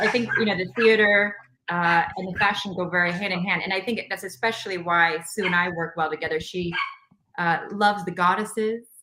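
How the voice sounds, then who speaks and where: An ordinary speaking voice with an American accent, at a fairly quick pace with fairly even intonation. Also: woman, medium pitch for a woman. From Nebraska, US. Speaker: actress and model. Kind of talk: casual chat.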